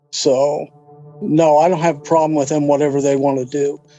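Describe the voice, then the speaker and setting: A man's voice is fairly high and his intonation fairly even. Music can be heard behind him. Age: 60s. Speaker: father of missing person. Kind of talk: interview testimony. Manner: halting.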